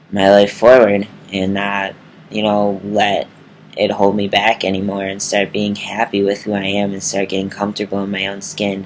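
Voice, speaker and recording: Against noticeable background noise, a man with an American accent speaks in a flat monotone at a moderate pace. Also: fairly low pitch for a man. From Milwaukee, Wisconsin, USA. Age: 20s. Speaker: transgender vlogger. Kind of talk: casual talk to camera.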